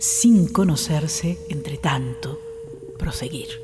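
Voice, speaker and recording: A very slow, solemn delivery over music in the background. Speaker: radio host reading literature. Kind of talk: literary reading aloud of prose and poetry. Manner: slow, measured, contemplative; intimate, solemn, poetic.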